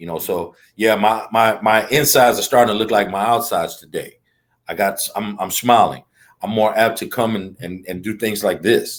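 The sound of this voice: A man at a moderate pace, his pitch fairly low. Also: ordinary pitch variation.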